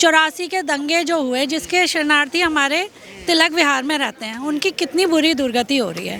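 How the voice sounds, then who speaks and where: A raised, projected voice with ordinary pitch variation over noticeable background noise. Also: woman, high pitch for a woman. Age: 40s. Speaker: interviewee at street interview. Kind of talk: political vox-pop interview. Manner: animated.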